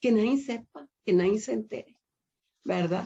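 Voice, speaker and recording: This voice has a dark, mellow tone with vocal fry and moves at a fairly slow pace. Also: woman. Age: 60s. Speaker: women's Bible study teacher. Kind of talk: sermon.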